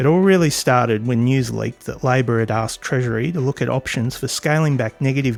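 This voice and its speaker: Against noticeable background noise, a man with an Australian accent talks at a fairly quick pace and medium pitch. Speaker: political commentator. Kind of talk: political commentary narration.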